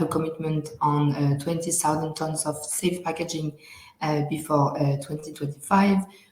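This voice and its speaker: The intonation stays flat and monotone at a moderate pace. Noticeable background noise runs under the speech. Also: woman. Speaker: retail project manager. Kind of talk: presentation. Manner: halting.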